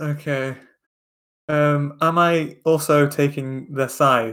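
A man is speaking. He talks with a Lancashire accent. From Lancashire, northern England. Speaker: podcast co-host. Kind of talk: casual chat.

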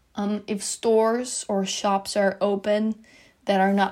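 In a very clean recording with a silent background, a woman with a Dutch accent speaks at medium pitch in monotone, flat intonation. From Netherlands. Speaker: college student athlete. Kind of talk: personal testimony.

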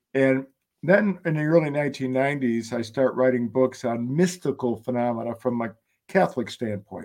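Speaking at a moderate pace, a man has an unremarkable speaking voice, a medium pitch and ordinary pitch variation. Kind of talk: interview.

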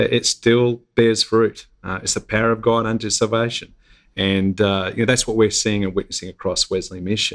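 In an Australian accent, a man with a fairly low pitch speaks in a monotone, flat way, on a very clean recording with a silent background and a dry, close sound with no echo. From Australia, Gold Coast. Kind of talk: interview. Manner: halting, many fillers.

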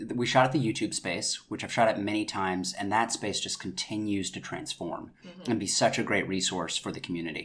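A normal speaking voice from a man with an American accent, fairly low in pitch, at a fairly quick pace with hardly any pauses and lively intonation. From North Carolina. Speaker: actor, writer and director. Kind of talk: casual interview.

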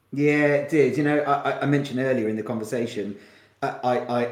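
A man with a southern English accent talks at a moderate pace with fairly even intonation. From Kent, south-east England. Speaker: marketing agency founder and CEO. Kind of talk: podcast interview. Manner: hesitant, frequent repetitions.

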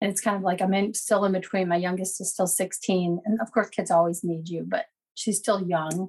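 This woman's voice sits at medium pitch and is somewhat breathy. She keeps a moderate pace and fairly even intonation. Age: 50s. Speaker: caller with cancer diagnosis. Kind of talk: personal testimony in coaching call. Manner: hesitant with fillers.

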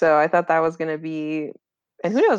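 Against a quiet background, a woman with an American accent and a fairly low pitch is heard in a dry, close sound with no echo. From Central Coast California (Watsonville). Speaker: podcast guest. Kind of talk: casual chat.

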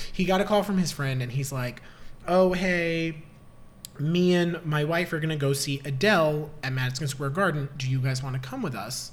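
A man with a fairly high pitch and ordinary pitch variation talks at a moderate pace amid audible room echo. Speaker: podcast co-host. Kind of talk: casual chat.

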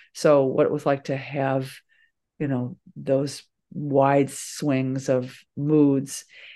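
A woman's very deep, low voice, dark and mellow in tone, flat and monotone at a very slow pace, with a quiet background. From suburban Chicago, US Midwest. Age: 60s. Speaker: author and journalist. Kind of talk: interview conversation about memoir.

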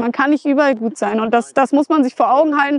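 With a northern German accent, a woman speaks at a high pitch with ordinary pitch variation in a dry, close recording with no echo. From northern Germany, Flensburg area. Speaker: motorcycle traveller and author. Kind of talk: casual chat.

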